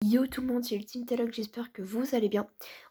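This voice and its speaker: Heard on a very clean recording with a silent background, a woman speaks in a high, dark, mellow voice. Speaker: gaming youtuber. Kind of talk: gameplay commentary. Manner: soft-spoken.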